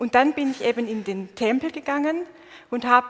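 Over noticeable background noise, a woman with a Swabian accent talks in a high pitch with ordinary pitch variation. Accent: Swabian dialect, still audible. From Swabia, southern Germany. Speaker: preacher. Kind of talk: sermon. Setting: church stage with congregation, livestreamed.

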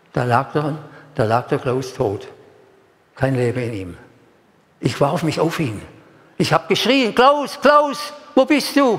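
A man speaking very slowly with long, frequent pauses, amid noticeable background noise. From Stuttgart area, Germany. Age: 80s+. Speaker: preacher. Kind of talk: sermon. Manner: emotional, repetitive.

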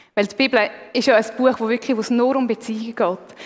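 Noticeable background noise sits under the recording. A woman talks at a very fast pace in a high pitch. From Switzerland, Aargau. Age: 30s. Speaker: lay preacher. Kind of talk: sermon.

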